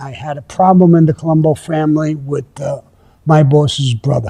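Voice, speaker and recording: A man speaks with a fairly high pitch. His voice is somewhat breathy, with a dark, mellow tone. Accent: American. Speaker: former mafia underboss telling his own stories. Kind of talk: personal storytelling to camera. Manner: casual, reminiscent.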